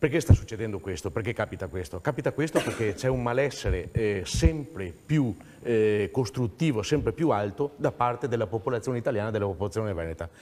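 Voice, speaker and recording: In a normal speaking voice, a man talks at a fairly quick pace with medium pitch and lively intonation. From Veneto, Italy. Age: 60s. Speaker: regional political activist. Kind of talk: TV talk show discussion.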